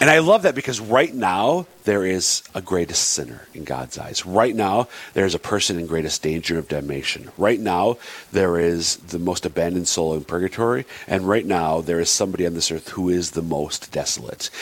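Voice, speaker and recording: Lively intonation comes through over noticeable background noise. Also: man, very deep, low pitch for a man. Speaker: radio show co-host. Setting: radio studio. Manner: fast talker.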